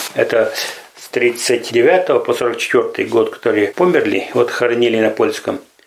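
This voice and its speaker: Over noticeable background noise, a man speaks at a very slow pace with big swings in loudness. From Russia, Perm region village. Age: 60s. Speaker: pensioner, defendant. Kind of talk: testimony.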